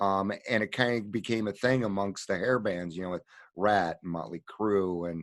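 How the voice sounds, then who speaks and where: A man talks in an ordinary speaking voice, fairly low in pitch, at a moderate pace. The background is quiet. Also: ordinary pitch variation. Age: 50s. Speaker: podcast host in recovery. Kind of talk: casual interview.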